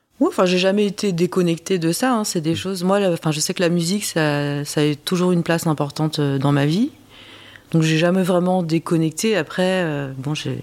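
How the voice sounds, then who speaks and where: This woman's voice sits fairly low, moving at a moderate pace with ordinary pitch variation. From France. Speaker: interviewee sharing adoption story. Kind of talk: testimony. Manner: hesitant, many fillers.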